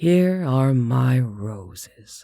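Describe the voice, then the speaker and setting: In a put-on character voice, a man speaks at a medium pitch with very wide pitch swings. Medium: read story. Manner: slow, formal, courtly.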